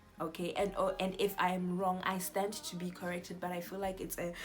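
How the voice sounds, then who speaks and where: Noticeable background noise and audible room echo surround a woman speaking at a moderate pace with medium pitch and ordinary pitch variation. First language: not English. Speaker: YouTuber. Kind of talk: casual Bible teaching talk. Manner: halting, self-correcting.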